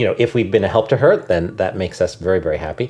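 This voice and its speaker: Noticeable background noise runs under this recording. A man speaks with a General American accent. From Connecticut, New Haven. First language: Haitian Creole. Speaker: nonprofit executive. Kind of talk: interview. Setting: podcast recording.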